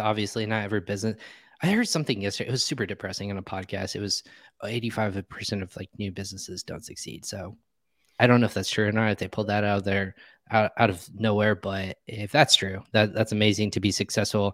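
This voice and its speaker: A man speaks at a very fast pace in a fairly low pitch, his intonation fairly even. The sound is dry and close with no echo, on a very clean recording with a silent background. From Indiana. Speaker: podcast host. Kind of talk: live interview show. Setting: live video stream.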